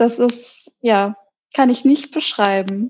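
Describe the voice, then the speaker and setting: A woman with an unremarkable speaking voice talks fairly slowly at a fairly high pitch, keeping her intonation fairly even. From Hamburg, northern Germany. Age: 30s. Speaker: psychologist. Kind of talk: interview.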